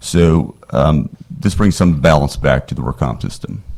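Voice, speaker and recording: Vocal fry runs through the voice. Its pitch variation is ordinary. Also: man. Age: 60s. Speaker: attorney testifying as witness. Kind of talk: committee hearing testimony.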